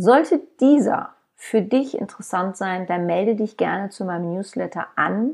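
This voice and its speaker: A plain, everyday voice comes from a woman at medium pitch with lively intonation. She speaks at a fairly slow pace against a quiet background. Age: 50s. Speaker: podcast host and author. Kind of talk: podcast monologue.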